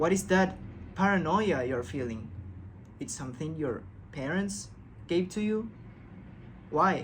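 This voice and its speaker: With a non-native accent and a calm tone, a man speaks fairly slowly at a fairly high pitch, his vocal fry and very wide pitch swings broken by long, frequent pauses amid audible room echo. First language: not English. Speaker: self-help video creator. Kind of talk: casual motivational talk.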